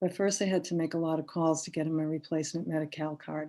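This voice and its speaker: A woman with an American accent talks at a fairly quick pace in a fairly low, monotone, flat voice. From Boston area, US. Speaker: poet. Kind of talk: poetry reading. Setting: virtual reading, video call.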